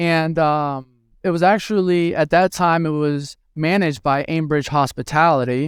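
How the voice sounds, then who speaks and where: This man's voice sits fairly high and moves at a fairly slow pace with fairly even intonation. The recording is very clean, with a silent background. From Venezuela, moved to US at ten. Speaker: hospitality tech executive. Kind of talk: interview. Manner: hesitant, many fillers and repeats.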